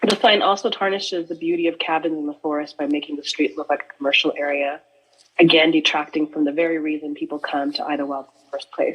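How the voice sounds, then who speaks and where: A woman's very deep, low pitch at a very fast pace, with big swings in loudness. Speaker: short-term rental owner speaking at public comment. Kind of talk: public comment at county board meeting. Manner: formal, read statement.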